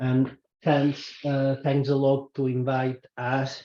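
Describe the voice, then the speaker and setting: A very slow, monotone delivery with flat intonation, in a Spanish accent. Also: man. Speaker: government waste official. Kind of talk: conference presentation. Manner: halting.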